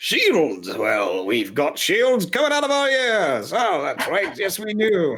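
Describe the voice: Using a put-on character voice, a man talks fairly slowly in a high pitch with hardly any pauses.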